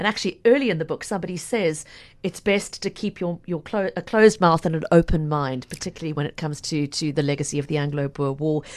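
Against a quiet background, a woman talks very fast at a fairly low pitch with ordinary pitch variation. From South Africa. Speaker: radio host and podcast interviewer. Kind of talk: book interview.

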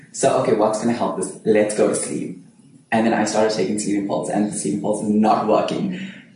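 In a room with audible echo and noticeable background noise, a man speaks at a fairly quick pace with a fairly low pitch. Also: ordinary pitch variation. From Durban, South Africa. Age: 20s. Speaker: actor. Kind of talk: casual chat.

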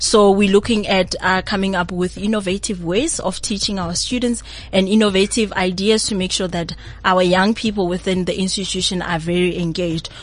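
Over noticeable background noise, a woman of medium pitch speaks with fairly even intonation. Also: moderate pace. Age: 20s. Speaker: university project coordinator. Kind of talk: radio interview. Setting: radio studio.

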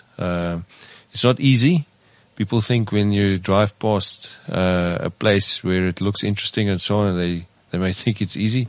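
A man's voice at a fairly low pitch with ordinary pitch variation. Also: moderate pace. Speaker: estate management CEO. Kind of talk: casual chat. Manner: halting.

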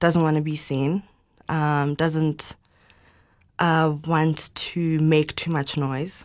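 A woman speaks at a very slow pace in a very deep, low pitch, with monotone, flat intonation. Long, frequent pauses stand out against a quiet background. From South Africa, Johannesburg. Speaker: winemaker and entrepreneur. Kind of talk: interview.

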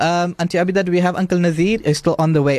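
The speaker is a man with a high pitch. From South Africa. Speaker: radio host. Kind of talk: radio talk show. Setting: radio studio.

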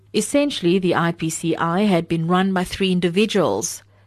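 Against a quiet background, a woman with an unremarkable speaking voice talks at a fairly slow pace, her pitch fairly low with ordinary variation. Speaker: book reviewer. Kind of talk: reading aloud.

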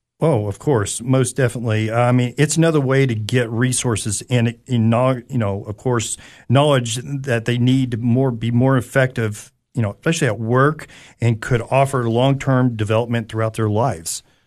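A man in an East Tennessee accent, medium pitch, fairly even intonation and a moderate pace, against a quiet background. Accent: Southern US (East Tennessee). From East Tennessee, Anderson County. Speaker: career coach. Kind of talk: radio interview. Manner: hesitant, many fillers.

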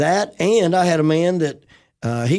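A man talks with a Southern US accent and lively intonation. The background is quiet. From West Tennessee. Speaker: pastor. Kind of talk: casual chat.

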